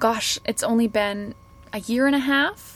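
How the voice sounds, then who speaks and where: In a plain, everyday voice, a woman with a Canadian accent talks fairly slowly at a fairly high pitch with ordinary pitch variation. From Canada, Kelowna near Vancouver. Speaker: fashion marketer and podcaster. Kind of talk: casual interview. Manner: laughs often.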